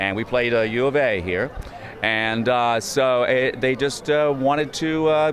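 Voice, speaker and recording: Noticeable background noise is present. Over it, a man speaks at a medium pitch. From Little Rock, Arkansas. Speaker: voice actor and comedian. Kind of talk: interview answer.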